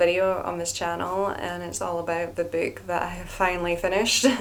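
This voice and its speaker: With a Scottish accent, a woman with fairly low pitch talks at a fairly quick pace amid noticeable background noise and audible room echo. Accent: Scottish, often mistaken for Irish. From Scotland. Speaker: novelist, video blogger. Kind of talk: casual vlog talk. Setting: at home by fireplace. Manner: hesitant, with fillers.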